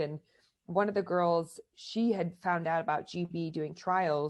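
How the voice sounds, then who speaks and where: Pitch moves in an ordinary way. The voice carries an American accent. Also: woman. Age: 30s. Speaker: American football player and coach. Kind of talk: interview. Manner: animated.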